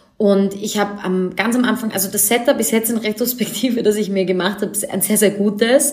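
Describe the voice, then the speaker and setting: Over noticeable background noise, a woman speaks at a fairly quick pace with hardly any pauses, using a medium pitch and fairly even intonation. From Austria, Vienna. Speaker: fashion designer and author. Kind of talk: interview.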